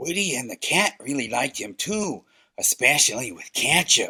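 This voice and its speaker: Using a cartoonish character voice, a man talks at a moderate pace in a fairly high pitch. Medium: puppet show. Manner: wry, teasing.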